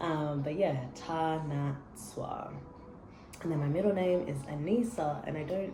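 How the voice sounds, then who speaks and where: Over noticeable background noise and audible room echo, a woman with a very deep, low pitch speaks in an animated tone at a moderate pace. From Australia. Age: 20s. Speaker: vlogger. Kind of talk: casual chat.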